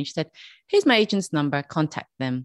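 A woman speaks with a Dublin accent at a fairly low pitch. The sound is dry and close with no echo, over a quiet background. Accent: Dublin Irish. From Dublin, Ireland. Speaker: makeup artist and podcast host. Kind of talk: casual interview. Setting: video call. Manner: hesitant, many fillers.

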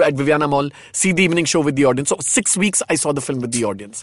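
Delivered very fast in a Marathi accent, the speech has ordinary pitch variation and a dry, close sound with no echo. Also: man. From India, Marathi background. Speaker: film director and fashion designer. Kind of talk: interview, casual chat.

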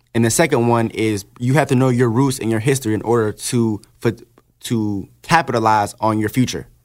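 On a very clean recording with a silent background, a man with a plain, everyday voice speaks at medium pitch and a moderate pace, with fairly even intonation. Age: 20s. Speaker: rapper. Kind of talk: casual chat. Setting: studio.

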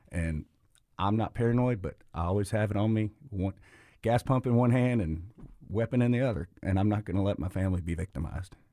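On a very clean recording with a silent background, a man with a Memphis accent speaks at a fairly quick pace, his fairly low voice dark and mellow in tone. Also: ordinary pitch variation. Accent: Southern US (Memphis). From Memphis, Tennessee, US South. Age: 50s. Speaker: restaurant owner. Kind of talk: radio interview. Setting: studio.

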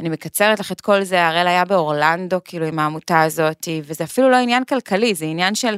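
In a very clean recording with a silent background and a dry, close, echo-free sound, a woman with an unremarkable speaking voice talks fairly quickly with hardly any pauses, her pitch fairly low and its variation ordinary. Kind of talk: podcast interview. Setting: studio.

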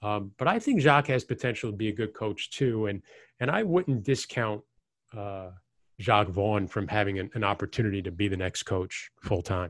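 Recorded very cleanly against a silent background with a dry, close sound and no echo, a man with a fairly low pitch speaks at a moderate pace with ordinary pitch variation. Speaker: radio play-by-play announcer. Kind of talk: casual sports interview. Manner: halting, many fillers.

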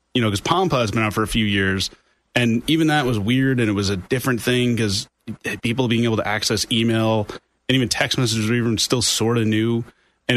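A man with an American accent speaks at a fairly quick pace in a medium pitch, his intonation fairly even, in an unremarkable speaking voice. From New York State (Orange County). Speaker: IT company CEO. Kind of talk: radio interview. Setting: studio.

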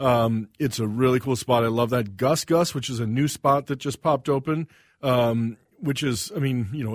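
In a very clean recording with a silent background and a dry, close sound with no echo, a man with an American accent talks at a fairly quick pace in an unremarkable speaking voice, with medium pitch and ordinary pitch variation. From US South. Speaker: chef. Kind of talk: casual interview.

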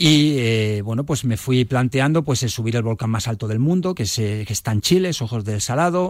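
At a moderate pace, a man with a medium-pitched voice talks with lively intonation. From Spain (Barcelona, Ciudad Real, Córdoba family). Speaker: mountaineer. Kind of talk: radio interview. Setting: radio studio. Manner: hesitant, many fillers.

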